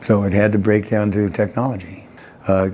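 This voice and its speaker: This is a man's voice. His pitch sits fairly low. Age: 60s. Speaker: patient. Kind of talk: testimony. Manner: halting.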